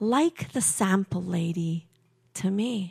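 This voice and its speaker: In a very clean recording with a silent background and a dry, close sound with no echo, a woman speaks very slowly in a somewhat breathy, dark, mellow voice with very wide pitch swings. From England. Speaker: storyteller and writing teacher. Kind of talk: live storytelling on stage; casual interview conversation. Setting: stage with audience.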